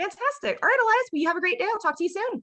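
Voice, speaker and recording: A woman uses a squeaky, put-on character voice at an extremely high pitch. She talks at a very fast pace. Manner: warm, jovial, charismatic.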